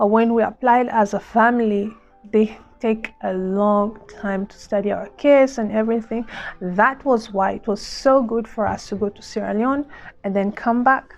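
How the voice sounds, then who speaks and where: A woman talks at a moderate pace with fairly even intonation and a fairly high pitch. Noticeable background noise can be heard. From Democratic Republic of Congo. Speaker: vlogger, former refugee. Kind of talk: casual vlog talk to camera.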